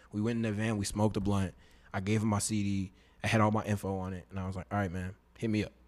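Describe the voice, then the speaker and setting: In a fairly low, monotone, flat voice, a man with an American accent talks at a very fast pace. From Katy, Texas (Houston area). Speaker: singer and rapper. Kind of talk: casual interview chat. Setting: studio.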